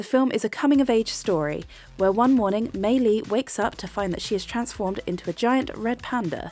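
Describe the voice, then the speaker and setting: A woman with a British accent speaks at a fairly high pitch while music plays in the background. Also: ordinary pitch variation, fairly quick pace. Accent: overtly British. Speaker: film reviewer. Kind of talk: casual review monologue.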